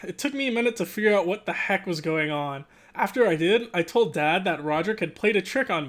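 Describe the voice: A plain read-aloud delivery carries lively intonation.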